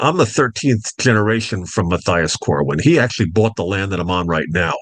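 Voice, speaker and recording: This normal speaking voice has an American accent and lively intonation. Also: man, fairly low pitch for a man, fairly quick pace. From Long Island, New York (North Fork). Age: 60s. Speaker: duck farmer. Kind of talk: interview.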